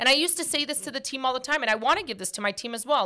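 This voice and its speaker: A woman's raised, projected voice, high-pitched and bright and sharp in tone, animated with lively intonation. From Portuguese heritage. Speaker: podcast host. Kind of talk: casual chat. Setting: studio. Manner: loud.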